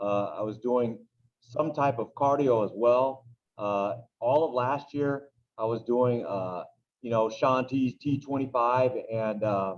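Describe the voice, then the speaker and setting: Here a man speaks at a very slow pace. His pitch is medium, with ordinary pitch variation. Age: 40s. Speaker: teacher and youth baseball coach. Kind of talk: interview, personal testimony. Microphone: poor sound quality on his microphone.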